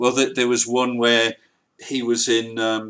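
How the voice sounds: The tone is clear, smooth and fairly bright, with little pitch movement at a fairly slow pace. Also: man, medium pitch for a man.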